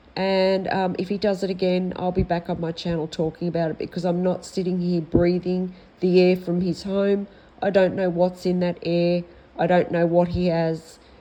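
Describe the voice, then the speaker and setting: The speaker talks at a moderate pace in an Australian accent. The intonation stays monotone and flat. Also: woman, fairly low pitch for a woman. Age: 60s. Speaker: vlogger. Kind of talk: personal complaint vlog. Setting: at home. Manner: halting.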